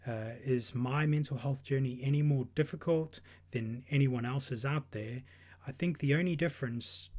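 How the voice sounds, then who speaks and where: A man with a South African accent speaks at a fairly slow pace, somewhat breathy, at medium pitch. His pitch varies in an ordinary way, and the recording is very clean with a silent background. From South Africa, KwaZulu-Natal north coast. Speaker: podcast host. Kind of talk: personal monologue.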